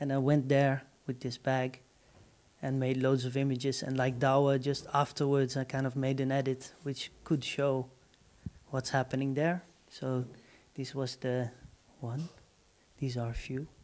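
A man speaks at a fairly slow pace with long, frequent pauses. His intonation is monotone and flat. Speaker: artist presenting work; presenter. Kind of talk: artist talk. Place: hall. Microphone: handheld.

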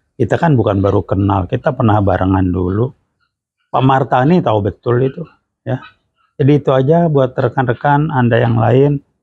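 A man's dark, mellow, somewhat breathy voice with very even loudness, a dry sound with no echo, and a quiet background. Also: moderate pace. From Indonesia. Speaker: retired lecturer and management practitioner; retired lecturer. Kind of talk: direct-to-camera clarification statement. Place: home room.

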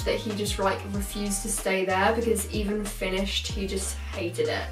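With clear music behind her and audible room echo, a woman talks at a moderate pace. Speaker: vlogger. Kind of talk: casual vlog chat. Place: home room.

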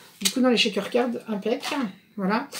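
Over noticeable background noise, a woman speaks in a monotone, flat intonation. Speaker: craft vlogger. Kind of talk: casual haul vlog chat. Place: home room. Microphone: phone near.

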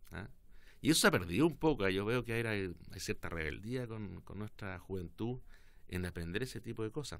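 A man talks at a moderate pace in a fairly low voice. His intonation is lively. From southern Chile, Osorno; southern Chile. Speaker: politician. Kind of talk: interview. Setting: studio. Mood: relaxed, reflective. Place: studio. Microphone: studio mic.

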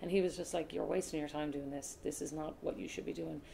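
A woman's very deep, low voice with a Cork accent, vocal fry and fairly even intonation, very fast pace, light background noise. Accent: Cork Irish. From Ireland, Cork (grew up partly in Australia); Ireland. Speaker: sports broadcaster; interviewee. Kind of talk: casual interview; interview answer. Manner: fast, lots of fillers. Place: home room.

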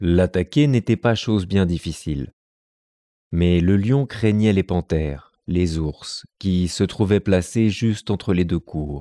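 Very deep and low, this man's voice has a dark, mellow tone and ordinary pitch variation at a very slow pace. The sound is dry and close with no echo, on a very clean recording with a silent background. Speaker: narrator reading fables. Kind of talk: scripted fable reading aloud to children. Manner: measured, storyteller-like, clear and expressive.

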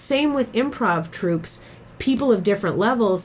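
A woman talks at a moderate pace with ordinary pitch variation. Hers is a normal speaking voice. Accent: American. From Boston. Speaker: podcast host and improv teacher. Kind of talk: casual interview chat.

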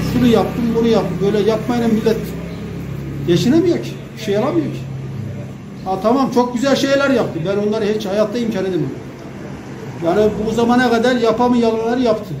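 Fairly quick speech broken by long, frequent pauses, with noticeable background noise. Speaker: local resident. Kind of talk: street interview. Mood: complaining about cost of living. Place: home room. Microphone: handheld.

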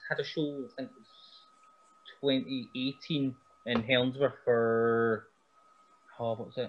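Speaking at a very slow pace, a man with a Scottish accent uses ordinary pitch variation. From Scotland. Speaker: pro wrestler; podcast guest. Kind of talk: casual chat. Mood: relaxed, chatty. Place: home room. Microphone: video call.

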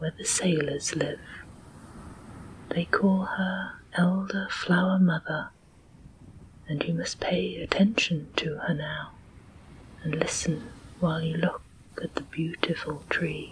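Long, frequent pauses break up the speech. It moves at a very slow pace over light background noise. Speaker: storyteller narrator. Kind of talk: audiobook story reading.

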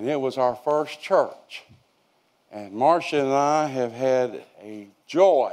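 Over a quiet background, a man with a dark, mellow tone speaks at a very slow pace. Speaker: preacher. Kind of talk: sermon. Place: church.

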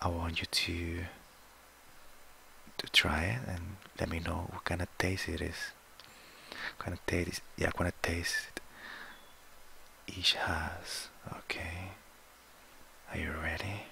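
Long, frequent pauses break up whispering delivered at a very slow pace. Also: man. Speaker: ASMR roleplay doctor. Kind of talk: ASMR medical roleplay. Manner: soft-spoken, relaxing. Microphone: headset.

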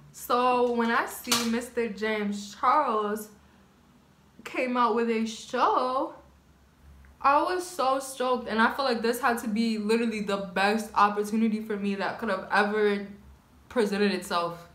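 The speech moves at a fairly slow pace with ordinary pitch variation, and room echo is audible. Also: woman, fairly high pitch for a woman. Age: 20s. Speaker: YouTuber, nail technician; YouTuber. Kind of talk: casual vlog chat while doing makeup. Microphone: phone near.

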